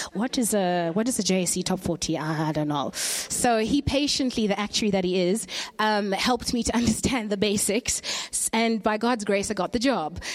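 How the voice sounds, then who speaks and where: A woman at a medium pitch with ordinary pitch variation, a moderate pace, hardly any pauses and very even loudness, against noticeable background noise. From Zimbabwe, grew up in the UK. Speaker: journalist and guest speaker. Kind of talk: sermon.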